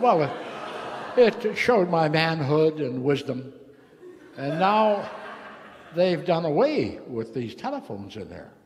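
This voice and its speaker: A man talks with audible room echo. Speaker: recovering alcoholic speaker. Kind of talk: AA meeting talk. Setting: meeting hall with audience. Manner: casual, halting with fillers.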